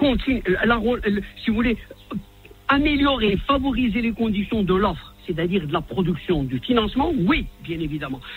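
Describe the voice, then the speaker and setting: Man with a high pitch and very wide swings, moderate pace, long, frequent pauses and noticeable background noise. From Morocco. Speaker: economist. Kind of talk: radio interview.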